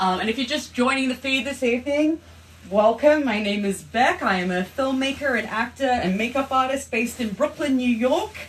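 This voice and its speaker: A woman's high voice at a moderate pace, with lively intonation and noticeable background noise. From Australia. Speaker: actress and filmmaker, livestream host. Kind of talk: casual livestream chat.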